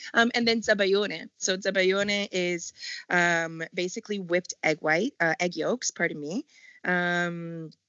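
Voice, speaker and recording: A plain, everyday voice with a Canadian accent, at a fairly slow pace with ordinary pitch variation. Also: woman. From Montreal, Canada. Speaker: chef. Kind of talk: interview.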